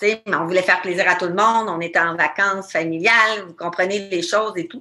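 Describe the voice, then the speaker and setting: Her pitch sits in the medium range for a woman, with ordinary pitch variation. She talks at a fairly quick pace in a bright, sharp tone. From Quebec. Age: 40s. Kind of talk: interview.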